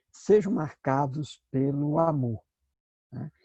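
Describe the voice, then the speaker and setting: A man's fairly high, somewhat breathy voice carries a dark, mellow tone in a dry, close sound with no echo. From Brazil, Northeast. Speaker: pastor and Bible teacher. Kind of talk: lecture. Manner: hesitant, with filler sounds.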